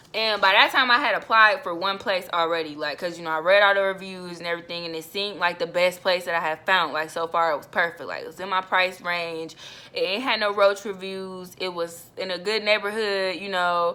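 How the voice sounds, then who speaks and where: Animated in tone, a woman talks at a fairly quick pace and medium pitch. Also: ordinary pitch variation, hardly any pauses, big swings in loudness. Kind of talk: personal testimony. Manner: fast.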